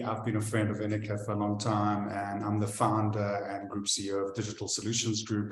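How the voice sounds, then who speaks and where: In a room with audible echo, a man talks at a fairly quick pace in a fairly low pitch. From Israel and South Africa. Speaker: tech company founder, interviewer. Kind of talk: interview conversation.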